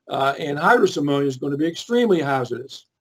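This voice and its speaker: With a Philadelphia accent, a man speaks in a lively, varied intonation. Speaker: chemical industry safety expert. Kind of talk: webinar presentation. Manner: hesitant, many fillers and repeats.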